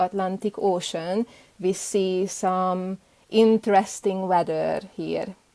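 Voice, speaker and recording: Speaking at a fairly slow pace, a woman with a medium pitch and a dark, mellow tone is heard in a dry, close sound with no echo. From Hungary, Budapest. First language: Hungarian. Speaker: beekeeper. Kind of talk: interview.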